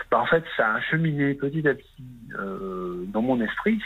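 Against noticeable background noise, a man's voice moves through very wide pitch swings. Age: 30s. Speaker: caller. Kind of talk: testimony. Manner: halting.

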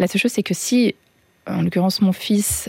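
This is a woman speaking. Her pitch is medium and varies in an ordinary way. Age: 40s. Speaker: single mother by choice. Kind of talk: personal testimony. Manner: halting, many hesitations.

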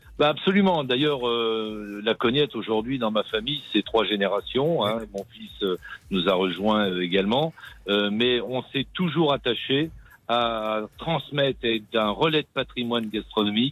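Music plays in the background as a man talks at a fairly slow pace. His medium-pitched voice shows ordinary pitch variation. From Berry, central France. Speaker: restaurant chef. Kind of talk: radio interview.

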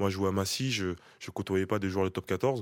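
A man's very deep, low voice at a fairly quick pace with fairly even intonation, in a very clean recording with a silent background. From France, Paris region. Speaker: rugby player. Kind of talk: interview. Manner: halting.

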